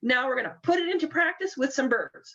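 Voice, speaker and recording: A woman's lively intonation at a fairly quick pace. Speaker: bird banding program coordinator. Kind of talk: webinar presentation. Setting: online webinar. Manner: fast.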